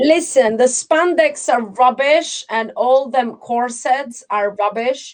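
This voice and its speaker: A high-pitched woman at a very slow pace, with ordinary pitch variation. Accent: non-native. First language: not English. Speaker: livestream host. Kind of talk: casual chat. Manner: animated.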